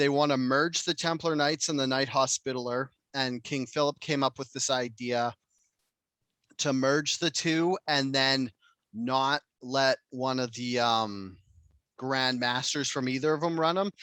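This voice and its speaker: Speaking at a fairly slow pace with fairly even intonation, a man has a medium-pitched voice with a bright, sharp tone, recorded very cleanly against a silent background in a dry, close sound with no echo. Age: 40s. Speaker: podcast host. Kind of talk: casual chat.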